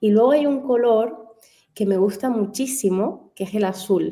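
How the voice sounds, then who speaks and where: She is a woman speaking in a Canary Islands accent, with a dark, mellow tone. Her pace is fairly slow and her intonation lively. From Canary Islands, Spain. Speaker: fashion stylist. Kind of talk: radio interview.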